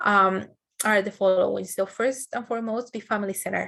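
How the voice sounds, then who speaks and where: A woman speaks at a fairly quick pace with a Spanish accent. Her medium pitch holds fairly even intonation. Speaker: educational trainer. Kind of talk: training webinar presentation. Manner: frequent fillers, some false starts.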